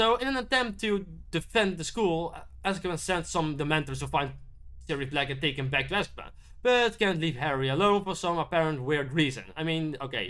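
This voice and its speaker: A man speaks at a fairly high pitch in a bright, sharp tone. His pace is fairly quick and his intonation lively. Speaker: YouTube film reviewer. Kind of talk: casual video review monologue. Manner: halting, many repeats and restarts; mumbling.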